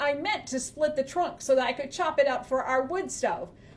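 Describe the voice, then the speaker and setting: Putting on a character voice, a woman speaks in a high pitch at a moderate pace. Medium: read story. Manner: rude, snappish.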